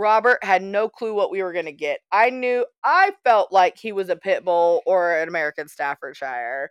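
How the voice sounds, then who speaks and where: Against a quiet background, a plain, everyday voice runs on with hardly any pauses. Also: woman, medium pitch for a woman, lively intonation, moderate pace, dry, close sound with no echo. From US, small town. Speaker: podcast co-host. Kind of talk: casual chat.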